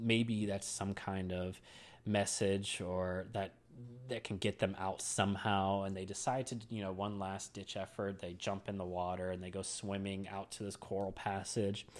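A man speaks in a fairly low pitch at a moderate pace. His intonation is monotone and flat. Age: 30s. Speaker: horror movie podcast host. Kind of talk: solo movie review podcast. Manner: casual with frequent fillers and laughs.

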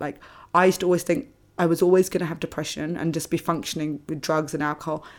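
A woman with a London accent at a fairly low pitch, with fairly even intonation, on a very clean recording with a silent background. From London, England (British Indian family). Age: 30s. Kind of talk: personal testimony in interview.

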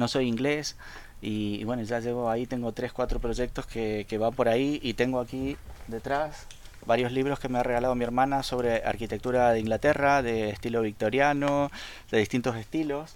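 Keeping a moderate pace, a man speaks at a medium pitch with fairly even intonation. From Argentina, Rosario. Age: 40s. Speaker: fan LEGO designer and photographer. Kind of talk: casual interview.

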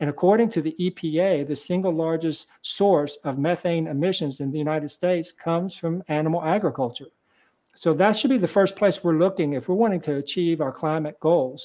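Over a quiet background, a man talks in a high pitch at a fairly quick pace. He has an American accent. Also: ordinary pitch variation. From Kentucky. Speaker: vegan author and speaker. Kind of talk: interview. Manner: hesitant with fillers.

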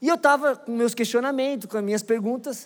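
A man speaks at a fairly quick pace with a high pitch and ordinary pitch variation, animated in tone. The recording is very clean, with a silent background. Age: 20s. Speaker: pastor. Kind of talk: sermon.

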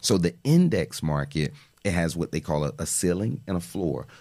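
This man has a very deep, low pitch, a dark, mellow tone, vocal fry, and an American accent. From Miami, Florida (Miami Gardens). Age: 30s. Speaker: financial literacy educator. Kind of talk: podcast interview.

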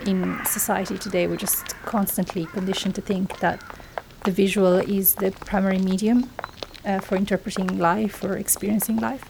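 A woman talks at a moderate pace and medium pitch, with fairly even intonation. There is noticeable noise in the background. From southern Italy (Basilicata). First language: Italian. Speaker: sound artist. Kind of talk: interview. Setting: outdoors.

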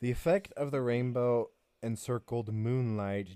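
The speaker is a man with a dark, mellow tone and medium pitch. He goes at a moderate pace with ordinary pitch variation. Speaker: podcast co-host. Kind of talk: casual chat, reading notes.

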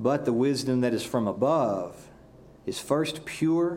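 A man with a Southern US accent, speaking at a fairly slow pace with lively intonation. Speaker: pastor. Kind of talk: sermon. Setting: church.

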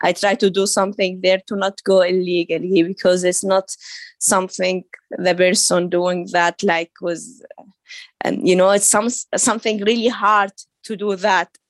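A woman with an Arabic accent speaks at a medium pitch and a moderate pace with fairly even intonation, in a dry, close recording with no echo. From Saudi Arabia, of Syrian family. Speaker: author and women's rights activist. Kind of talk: interview. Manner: halting, with frequent repetitions and fillers.

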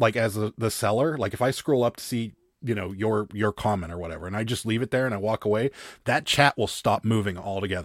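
A man speaks in an unremarkable speaking voice. The sound is dry and close, with no echo. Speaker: reseller. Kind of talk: casual chat.

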